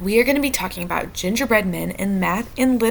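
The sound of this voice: The speaker reads in an unforced voice.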